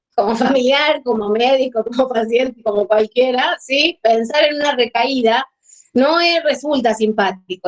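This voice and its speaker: At a moderate pace, a woman speaks in a high pitch, the sound dry and close with no echo. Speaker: psychiatrist. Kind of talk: lecture.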